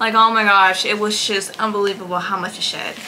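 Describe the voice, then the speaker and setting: Fairly high pitch from a woman, with audible room echo and noticeable background noise. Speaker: lifestyle vlogger. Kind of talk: casual vlog. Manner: relaxed, casual.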